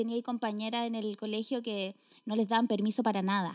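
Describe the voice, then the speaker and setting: With a Chilean accent, a woman talks at a moderate pace in a fairly high voice with a dark, mellow tone. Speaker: podcast co-host. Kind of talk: casual chat.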